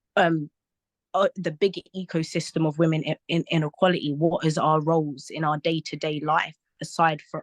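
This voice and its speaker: Speaking at a moderate pace, a woman with a very deep, low pitch talks in a monotone, flat intonation, the sound dry and close with no echo. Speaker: charity representative. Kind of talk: webinar presentation. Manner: hesitant, many fillers.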